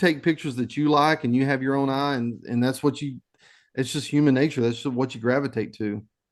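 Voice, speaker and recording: Against a quiet background, a man with a Texas accent talks at a fairly quick pace, his medium pitch following a fairly even intonation. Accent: Texas twang. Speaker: nature photographer. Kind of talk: presentation. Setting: video call.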